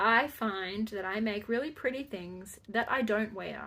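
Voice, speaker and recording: A woman is speaking in a fairly high voice. Her pitch varies in an ordinary way. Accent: Australian. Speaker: crafting podcaster. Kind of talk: casual chat. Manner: halting.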